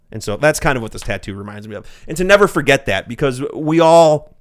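In a normal speaking voice, a man talks at a fairly quick pace with lively intonation on a very clean recording with a silent background. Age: 30s. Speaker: YouTuber and vlogger. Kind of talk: casual chat.

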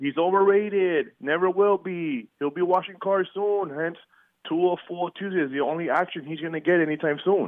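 A man with a high pitch speaks at a moderate pace with ordinary pitch variation. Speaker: regular sports caller. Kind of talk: sports debate on radio. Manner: announcer-style delivery.

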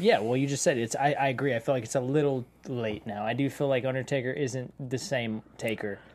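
Fairly quick and with ordinary pitch variation, a plain, everyday voice delivers the words. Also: man, medium pitch for a man, hardly any pauses. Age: 50s. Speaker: panelist. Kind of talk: casual chat.

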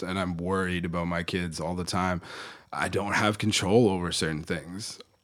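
A man with a very deep, low voice speaks in a monotone, flat way with a Canadian accent. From Ontario, Canada (Kitchener). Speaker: business mentor, coach and author. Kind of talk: casual interview.

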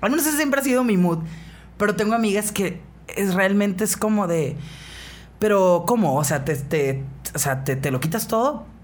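A woman with a northern Mexican accent, medium pitch and very wide pitch swings, somewhat breathy at a moderate pace with long, frequent pauses and very even loudness, in audible room echo. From Mexicali, Baja California, Mexico. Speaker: radio host. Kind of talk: casual chat. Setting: studio.

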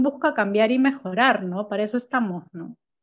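A woman with an ordinary speaking voice talks fairly slowly at a fairly high pitch over a quiet background. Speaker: marketing agency owner. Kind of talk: casual chat. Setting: home office.

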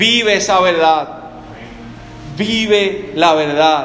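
A man speaks at a very slow pace. Music plays in the background, and room echo is audible. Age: 30s. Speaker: pastor. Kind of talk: sermon.

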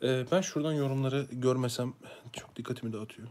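This man's pitch shifts by an ordinary amount. He talks at a fairly quick speed. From Ankara, Turkey. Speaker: YouTuber, religious content creator. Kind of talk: live stream monologue, personal testimony. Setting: live stream. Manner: casual, conversational with hesitations.

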